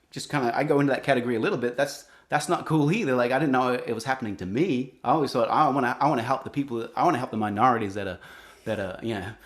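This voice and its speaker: A man with an Australian accent talks at a very fast pace, his pitch varying in an ordinary way. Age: 40s. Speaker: singer-songwriter. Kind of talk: interview. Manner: halting.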